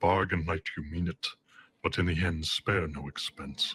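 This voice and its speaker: Using a put-on character voice, a man speaks at a very deep, low pitch in a monotone, flat delivery, with a dry, close sound and no echo. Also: moderate pace. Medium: short film. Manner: cold, clipped, condescending.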